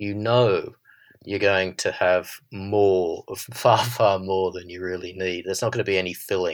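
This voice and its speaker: With an Australian accent, a man speaks fairly slowly in a very deep, low voice with monotone, flat intonation against a quiet background. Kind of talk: interview conversation.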